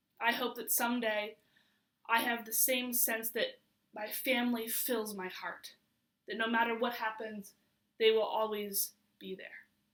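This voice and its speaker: Speaking fairly slowly with long, frequent pauses, a woman with a fairly high voice keeps her intonation fairly even while her loudness swings widely. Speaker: poet. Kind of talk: spoken word poetry reading.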